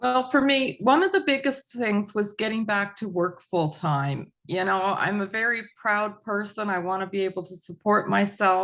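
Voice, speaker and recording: A woman's normal speaking voice at medium pitch, with lively intonation, a moderate pace and hardly any pauses, over a quiet background. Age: 60s. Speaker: mental health advocate sharing recovery story. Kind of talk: interview testimony.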